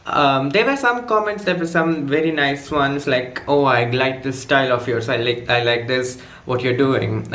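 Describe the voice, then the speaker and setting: With an Indian accent, a man talks at a moderate pace over noticeable background noise and audible room echo. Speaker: student vlogger. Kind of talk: casual vlog story time. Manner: halting, many fillers.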